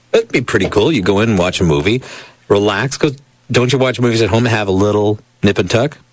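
Man at a very fast pace and a fairly low pitch, with very even loudness and noticeable background noise. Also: ordinary pitch variation. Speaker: radio talk show co-host. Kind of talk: talk radio banter.

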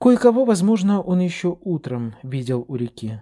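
A man's somewhat breathy, dark and mellow voice at a moderate pace, on a very clean recording with a silent background. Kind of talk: literary audiobook reading, scripted narration of a novel. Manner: measured, expressive storytelling pace.

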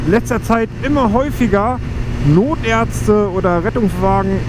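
A man's voice, a dry sound with no echo, with noticeable background noise. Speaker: motorbike vlogger. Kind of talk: casual vlog chat. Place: motorbike.

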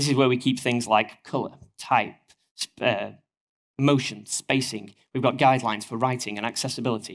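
A man talks at a fairly quick pace in a northern English accent. The background stays quiet. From northern England. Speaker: engineering manager; conference speaker. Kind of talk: conference talk. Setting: stage with audience. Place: stage. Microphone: podium.

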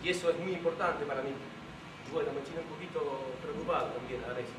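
A man's fairly quick speech amid noticeable background noise. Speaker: stage actor. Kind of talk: theatrical monologue. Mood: pleading, mildly exasperated. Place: stage. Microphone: camera far.

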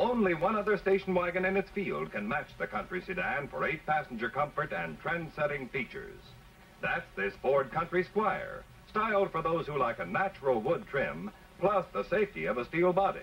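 Over music in the background, a man speaks at a moderate pace in a high voice with ordinary pitch variation. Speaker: advertising narrator. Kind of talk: commercial voice-over narration.

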